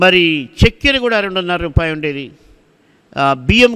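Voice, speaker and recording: In a quiet background, a man speaks with a high pitch and a bright, sharp tone. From Andhra Pradesh, Anantapur district (Hindupur); Andhra Pradesh. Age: 60s. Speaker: preacher. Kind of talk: sermon. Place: church. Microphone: studio mic.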